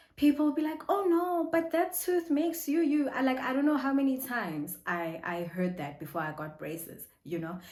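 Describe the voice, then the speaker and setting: With audible room echo, a woman speaks at a moderate pace in a high voice with very wide pitch swings and hardly any pauses. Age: adult. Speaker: vlogger. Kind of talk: casual vlog talk.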